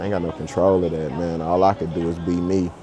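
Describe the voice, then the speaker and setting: Against noticeable background noise, a man with an American accent and a very deep, low pitch speaks at a moderate pace in monotone, flat intonation. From Oklahoma. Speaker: business owner vlogger. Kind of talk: vlog monologue. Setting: airport.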